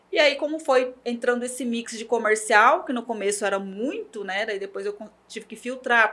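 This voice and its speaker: Bright and sharp in tone, a woman with a fairly high pitch talks at a moderate pace with hardly any pauses, ordinary pitch variation, and big swings in loudness. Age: 40s. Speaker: journalist and digital media professional. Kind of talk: interview.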